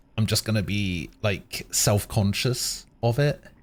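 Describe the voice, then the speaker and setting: A man speaks with a British accent. His pitch is fairly low. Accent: British accent, acquired. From Germany. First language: German. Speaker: game streamer. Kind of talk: casual chat.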